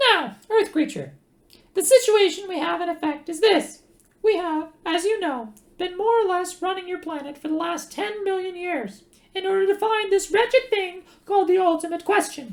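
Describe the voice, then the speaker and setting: Putting on a squeaky character voice, a woman speaks at a moderate pace in an extremely high pitch. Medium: read story. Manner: sharp, curt.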